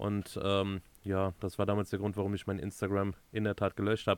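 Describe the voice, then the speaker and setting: A man with a fairly low pitch talks in a normal speaking voice. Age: 30s. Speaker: podcast co-host, van converter. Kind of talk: casual chat.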